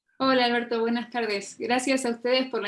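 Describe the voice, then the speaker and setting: A woman speaks in a fairly high pitch with an Argentine accent. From Argentina. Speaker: fintech lawyer, legal consultant. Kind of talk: interview conversation.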